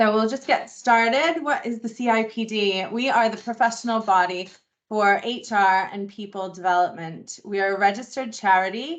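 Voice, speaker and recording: A woman's fairly high voice at a moderate pace, with ordinary pitch variation. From US Northeast, Boston. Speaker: membership engagement manager. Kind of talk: online induction presentation.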